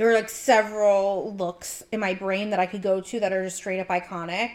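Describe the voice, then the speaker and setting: A woman of medium pitch speaks at a moderate pace with monotone, flat intonation. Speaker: podcast host. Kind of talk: casual chat.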